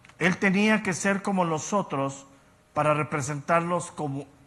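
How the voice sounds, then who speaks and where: Here is a man with an unremarkable speaking voice. He speaks at a fairly slow pace with ordinary pitch variation. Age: 60s. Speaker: Bible teacher. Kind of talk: lecture.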